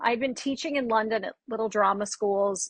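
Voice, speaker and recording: A woman's fairly high voice with an American accent, fairly even intonation and a moderate pace. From Texas, Dallas. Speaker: dialect coach. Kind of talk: podcast interview. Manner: casual, chatty.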